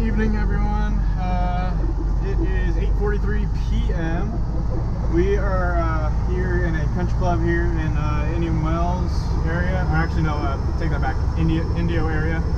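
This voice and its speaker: Loud background noise surrounds a man speaking. He talks at a fairly slow pace with long, frequent pauses. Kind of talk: casual vlog chat. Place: car. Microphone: phone near.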